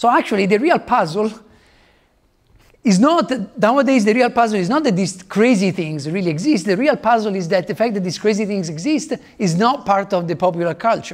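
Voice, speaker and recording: Speaking at a fairly quick pace in an Italian accent, a man with a high pitch has lively intonation. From Italy. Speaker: physicist. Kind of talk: lecture. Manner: halting.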